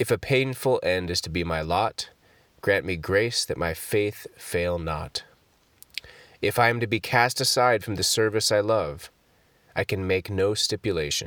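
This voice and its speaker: Speech in a normal speaking voice moves at a fairly slow pace with ordinary pitch variation. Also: man, fairly low pitch for a man. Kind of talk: fervent prayer read aloud from a Puritan devotional collection. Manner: solemn, reverent, earnest devotional cadence.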